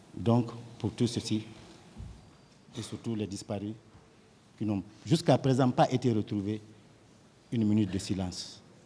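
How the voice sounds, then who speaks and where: Speaking at a fairly slow pace with long, frequent pauses, a man has a fairly low pitch, ordinary pitch variation and a dark, mellow, somewhat breathy tone. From Guinea (Kouroussa). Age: 60s. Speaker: witness in a trial, politician and surgeon. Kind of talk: court testimony. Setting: courtroom. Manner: formal.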